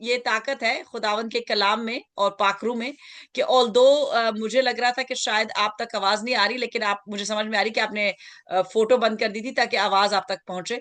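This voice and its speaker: Over a quiet background, a woman talks at a moderate pace in a fairly high, bright, sharp voice with fairly even intonation. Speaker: pastor. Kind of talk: sermon.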